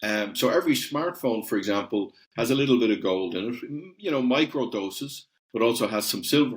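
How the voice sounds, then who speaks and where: Here a man talks at a medium pitch with an Irish accent. His intonation is lively. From Ireland. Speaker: company CEO. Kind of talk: podcast interview. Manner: hesitant, many repeated words.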